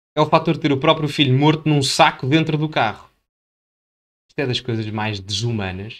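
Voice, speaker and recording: A man talks at a moderate pace in an animated tone, his pitch fairly high. The recording is very clean, with a silent background. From Portugal. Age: 20s. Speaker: political commentator youtuber. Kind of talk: video commentary.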